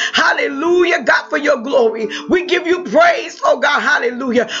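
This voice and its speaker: Over noticeable background noise, a man is shouting. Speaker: prayer leader. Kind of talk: fervent prayer. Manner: fervent, repetitive, rising with emotion, charged with praise and hallelujahs; urgent, exhorting, preacher-like.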